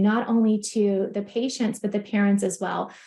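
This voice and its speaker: A somewhat breathy voice with a dark, mellow tone. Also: woman. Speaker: practice consultant. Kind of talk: webinar presentation. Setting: online webinar. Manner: fast.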